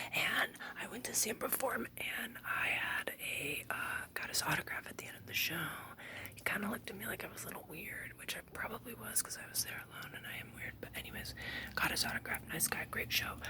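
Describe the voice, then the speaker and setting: Whispering with big swings in loudness, a woman speaks over noticeable background noise. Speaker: vlogger telling personal story. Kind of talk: casual personal storytelling. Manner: fast; halting.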